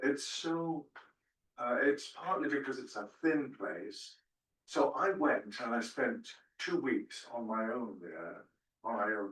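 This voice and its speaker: Pitch swings very widely as a man talks at a very slow pace. His voice sits fairly high. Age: 80s+. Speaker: retired church minister and spiritual director. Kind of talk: testimony. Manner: halting.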